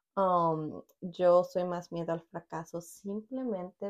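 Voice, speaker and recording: A woman talks at a very slow pace. Her voice is fairly low, with fairly even intonation. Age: 20s. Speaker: podcast co-host. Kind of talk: casual chat.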